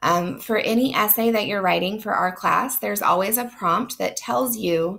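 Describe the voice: A woman with vocal fry speaks at a fairly slow pace, using medium pitch, a fairly bright tone and ordinary pitch variation.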